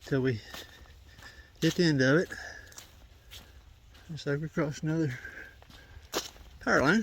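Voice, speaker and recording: A man's fairly high voice at a moderate pace, with long, frequent pauses and ordinary pitch variation. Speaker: hiking vlogger. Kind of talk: vlog narration while hiking. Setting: outdoors on a trail. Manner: soft-spoken usually; loud in the woods.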